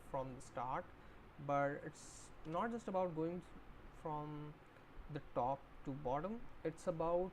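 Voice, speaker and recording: Fairly slow speech from a woman with a non-native accent. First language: not English. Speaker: book streamer. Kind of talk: livestream book discussion. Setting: live stream. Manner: halting, many fillers.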